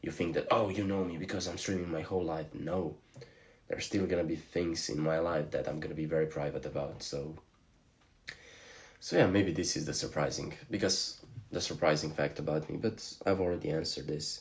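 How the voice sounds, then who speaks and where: A man with a very deep, low voice speaks at a fairly quick pace in a Slavic accent. His intonation stays fairly even. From Slovenia. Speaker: streamer. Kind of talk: live stream chat.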